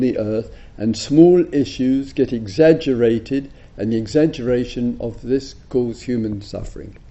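A man speaks with an English accent at a fairly slow pace. His pitch varies in an ordinary way. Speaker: Buddhist teacher. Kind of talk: dharma talk. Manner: soft-spoken; halting.

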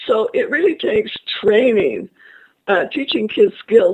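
A woman's fairly high voice with ordinary pitch variation and a dark, mellow tone. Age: 70s. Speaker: parenting author and educational psychologist. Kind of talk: interview. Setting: online webinar.

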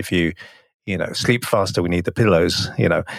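Speaking at a fairly slow pace, a man has a very deep, low pitch. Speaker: hypnotherapist and hypnosis teacher. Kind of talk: casual interview conversation. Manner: frequently repeats words, halting.

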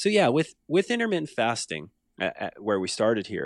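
A man's voice with very wide pitch swings, in a very clean recording with a silent background and a dry, close sound with no echo. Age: 40s. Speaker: nutrition coach and business founder. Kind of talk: casual interview.

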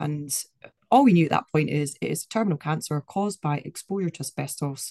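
In a Scottish accent, the voice has a dark, mellow tone and a dry, close sound with no echo. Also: woman. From Scotland. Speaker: activist. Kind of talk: interview.

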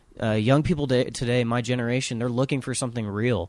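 A normal speaking voice from a man, medium in pitch, with fairly even intonation. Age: 20s. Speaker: songwriter and son of the host. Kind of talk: casual interview. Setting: on tour in Jerusalem.

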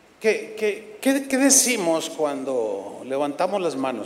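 Against noticeable background noise, a man with a high voice speaks in an animated tone at a fairly slow pace, his pitch swinging very widely. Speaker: preacher. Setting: church with congregation.

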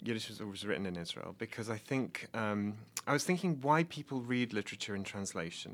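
In an English Midlands accent, a man speaks fairly quickly at medium pitch with lively intonation. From England, Nottingham. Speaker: PhD student and translator. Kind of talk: interview.

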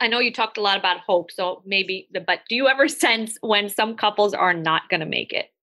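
A woman speaks with a normal speaking voice at a fairly high pitch and a moderate pace. Her intonation is lively, with hardly any pauses. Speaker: therapist podcast co-host. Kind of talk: casual podcast conversation.

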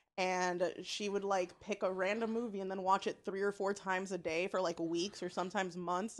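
Against a quiet background, a woman speaks at a fairly quick pace with a medium pitch. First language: not English. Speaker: podcast guest. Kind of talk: casual chat. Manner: animated.

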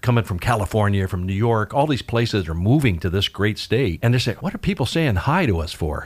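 A man with a fairly low pitch and a somewhat breathy voice, lively intonation, a fairly quick pace and hardly any pauses. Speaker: radio host. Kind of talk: radio interview. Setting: radio studio. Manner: fast talker.

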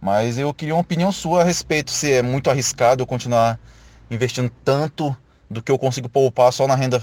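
Here a man has a normal speaking voice at medium pitch. He keeps a moderate pace with ordinary pitch variation. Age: 20s. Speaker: channel member asking questions. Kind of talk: recorded question.

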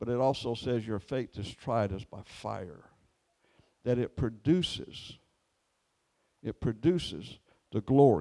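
Over a silent background in a very clean recording, a man with a dark, mellow tone and vocal fry speaks at a fairly slow pace, with big swings in loudness and long, frequent pauses. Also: medium pitch for a man, lively intonation. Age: 70s. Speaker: preacher. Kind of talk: sermon. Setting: church.

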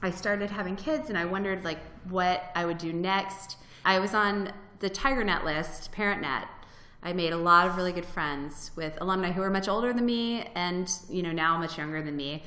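Audible room echo surrounds a woman speaking with an American accent. Her pitch is medium and shows ordinary variation. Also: moderate pace. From Florida. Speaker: freelance writer and blogger. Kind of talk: interview. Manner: casual, with many fillers.

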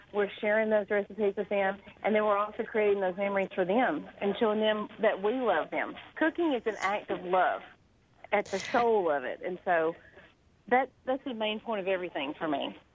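This woman's intonation is lively and her pitch medium. She talks at a moderate pace. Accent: Southern US. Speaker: cookbook author. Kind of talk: radio interview.

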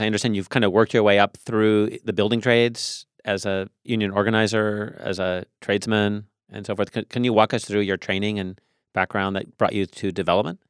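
A man with an American accent and a fairly low voice talks at a fairly quick pace in monotone, flat intonation, recorded dry and close with no echo in a very clean recording with a silent background. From US Pacific Northwest (Tacoma). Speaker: podcast host and real estate agent. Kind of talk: interview.

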